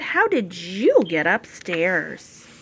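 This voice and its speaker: A woman performs a put-on character voice at a medium pitch. Light background noise is present. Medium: read story.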